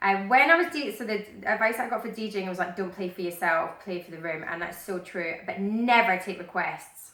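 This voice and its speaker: Over noticeable background noise, a woman at a medium pitch talks fairly quickly with hardly any pauses, lively intonation and big swings in loudness. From Scotland, Glasgow. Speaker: radio DJ and TV presenter. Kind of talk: interview. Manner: fast when excited.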